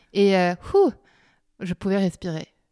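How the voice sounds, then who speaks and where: This woman has a medium pitch and a dark, mellow tone. Her intonation stays fairly even. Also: very clean recording, silent background. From France, Normandy. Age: 30s. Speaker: painter and textile artist. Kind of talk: casual interview. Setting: at her home.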